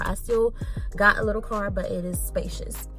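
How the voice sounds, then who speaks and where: Faint music plays in the background while a woman talks at a moderate pace. Her voice sounds dry with no echo. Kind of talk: casual vlog chat. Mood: happy, excited. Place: car. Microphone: phone near.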